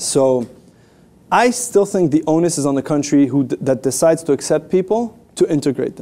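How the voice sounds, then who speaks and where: Moving at a fairly quick pace, a man talks in a fairly high pitch with a dark, mellow tone and lively intonation. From Canada, French-speaking part. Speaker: international relations expert. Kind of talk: interview. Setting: studio.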